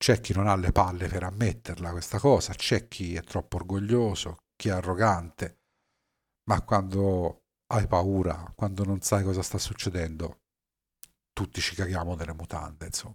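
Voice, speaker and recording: Somewhat breathy speech comes at a moderate pace with long, frequent pauses, on a very clean recording with a silent background. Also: man, very deep, low pitch for a man. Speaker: podcaster and former navy submarine officer. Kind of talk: personal storytelling monologue. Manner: hesitant with fillers.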